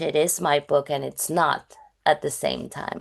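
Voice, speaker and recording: A woman speaks at a very deep, low pitch with a strong Spanish accent. Her pace is fairly slow against a quiet background. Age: 30s. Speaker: novelist. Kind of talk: interview. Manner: halting.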